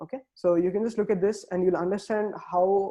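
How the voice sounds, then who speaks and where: Dark and mellow in tone, a man's voice sits at a high pitch. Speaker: quantum computing instructor. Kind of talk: online tutorial lecture. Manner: fast.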